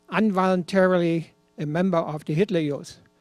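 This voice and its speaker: Backed by music but with a dry, close sound and no echo, a man speaks at a high pitch and fairly slow pace with fairly even intonation. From Germany, rural. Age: 80s+. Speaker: former Hitler Youth member telling his story. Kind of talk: personal testimony.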